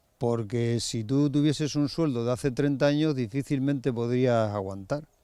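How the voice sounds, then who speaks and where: A man talks at a medium pitch and a moderate pace. His tone is dark and mellow, with ordinary pitch variation. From Spain, Extremadura (Cáceres, Valle del Ambroz). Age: 50s. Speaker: farmer. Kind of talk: interview.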